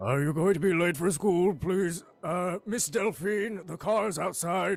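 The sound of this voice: A man puts on a guttural character voice. His pitch sits high. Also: fairly slow pace, ordinary pitch variation.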